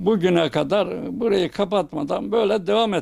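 A man talks very slowly, his voice pitched high. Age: 80s+. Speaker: shopkeeper. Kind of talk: interview. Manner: halting.

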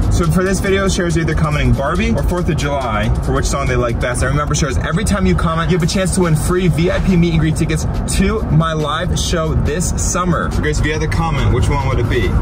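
The speaker races along at a very fast pace with hardly any pauses while music plays in the background. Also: man. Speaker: video creator. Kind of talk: casual vlog chat. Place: car. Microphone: phone near.

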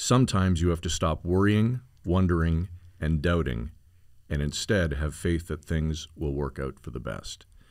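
Over a quiet background, a man with a Canadian accent speaks at a moderate pace in a very deep, low voice with lively intonation. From Ontario, Canada. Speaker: podcast host. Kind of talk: casual chat and interview. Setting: studio. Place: studio. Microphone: studio mic.

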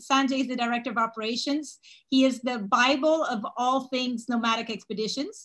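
At a moderate pace, a woman speaks with a high pitch and ordinary pitch variation against a quiet background. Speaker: webinar host. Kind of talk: presentation introduction. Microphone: video call.

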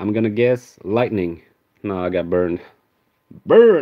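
A man speaks at a fairly slow pace with a fairly low pitch. His pitch varies in an ordinary way. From Sweden. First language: Swedish. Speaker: YouTuber. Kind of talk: live stream card opening. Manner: animated; frequent laughter.

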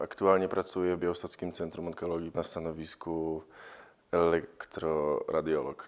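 A man's very deep, low voice stays monotone and flat. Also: moderate pace. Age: 20s. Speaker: hospital radiographer; oncology centre radiology technician. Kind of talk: interview testimony. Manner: halting. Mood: reflective, serious. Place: home room. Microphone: lapel.

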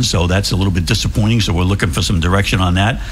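Music plays in the background as a man speaks at a fairly low pitch with fairly even intonation. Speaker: guest. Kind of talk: interview answer. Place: studio. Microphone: studio mic.

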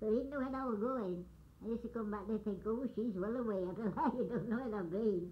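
A woman with a West Yorkshire accent speaks at a fairly quick pace in a high voice with ordinary pitch variation, over light background noise. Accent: broad West Yorkshire. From West Yorkshire, northern England. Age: 80s+. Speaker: grandmother recalling the past. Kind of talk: oral history reminiscence. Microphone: old recording.

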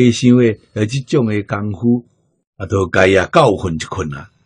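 A man is talking. There is a somewhat breathy quality to his voice. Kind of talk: lecture.

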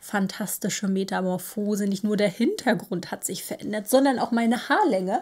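Against a quiet background, a woman speaks at a moderate pace with hardly any pauses. Her voice is somewhat breathy, medium in pitch, with ordinary pitch variation. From northern Germany, Baltic coast. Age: 30s. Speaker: knitting podcaster; knitting podcast host. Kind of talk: casual monologue. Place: home room.

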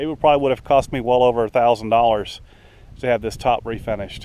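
This man's slightly mellow tone comes with fairly even intonation.

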